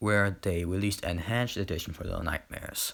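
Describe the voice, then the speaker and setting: On a very clean recording with a silent background, a man with a non-native accent speaks at a moderate pace, his fairly low pitch showing ordinary variation. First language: not English. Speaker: gaming YouTuber. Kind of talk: casual video commentary. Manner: halting, many fillers.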